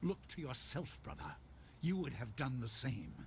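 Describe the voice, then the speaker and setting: Putting on a growling character voice at medium pitch, a man speaks at a moderate pace over clear background noise. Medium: video game. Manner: calm, cryptic.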